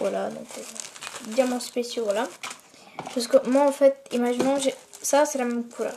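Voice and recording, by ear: Soft-spoken and dark, mellow in tone, the voice has vocal fry. It moves at a moderate pace with fairly even intonation. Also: woman.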